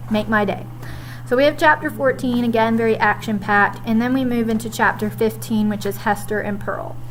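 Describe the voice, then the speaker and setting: Noticeable background noise runs under a woman's fairly quick speech. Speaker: high school English teacher. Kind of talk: recorded lesson recap for students.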